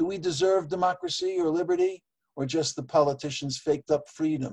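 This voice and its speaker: Delivered in an ordinary speaking voice, the words come fairly quickly and the intonation stays fairly even. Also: man. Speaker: poet and open-mic regular called the judge. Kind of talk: poetry reading, dense literary imagery.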